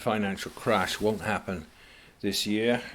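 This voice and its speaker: On a very clean recording with a silent background, a man with a British accent talks at a moderate pace, his fairly low pitch carrying fairly even intonation. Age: 70s. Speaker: author and commentator. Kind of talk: monologue talk.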